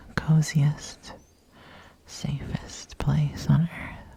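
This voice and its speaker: A woman speaks with a very deep, low pitch. Noticeable background noise runs underneath. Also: long, frequent pauses. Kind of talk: ASMR comfort role play. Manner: whispered; soft-spoken, soothing.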